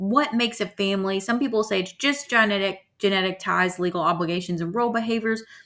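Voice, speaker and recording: In a very clean recording with a silent background, a woman with a normal speaking voice talks at a fairly quick pace, her medium pitch carrying lively intonation. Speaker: college instructor. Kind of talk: lecture. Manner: casual, filler-heavy.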